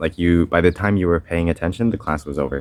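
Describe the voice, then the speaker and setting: Very deep and low, a man's voice moves with ordinary pitch variation. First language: French. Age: young. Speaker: homeschooled graduate. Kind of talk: vlog. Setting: at a school. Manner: casual.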